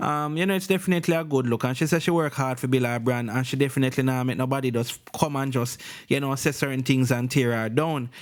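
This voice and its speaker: A man speaks at a very fast pace with a Jamaican accent. His pitch sits in the medium range and varies in an ordinary way. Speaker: entertainment news vlogger. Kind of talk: news commentary. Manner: casual.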